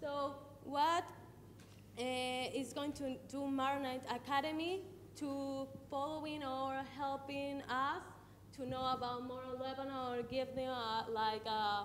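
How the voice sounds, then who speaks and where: A woman's high-pitched voice with a Spanish accent, very slow pace and fairly even intonation, amid audible room echo and noticeable background noise. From Ecuador. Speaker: audience member. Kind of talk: audience question. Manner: halting.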